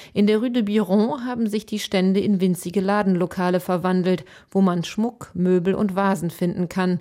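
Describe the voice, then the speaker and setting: A woman speaks at medium pitch with a dark, mellow tone and fairly even intonation. Her moderate pace comes through in a very clean recording with a silent background. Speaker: radio reporter. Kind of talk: scripted narration.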